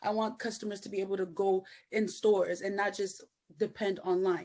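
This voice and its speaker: Her medium-pitched voice has a dark, mellow tone, and the woman speaks with monotone, flat intonation. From Nigerian family. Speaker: entrepreneur, cosmetics founder. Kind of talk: interview. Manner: casual, many fillers.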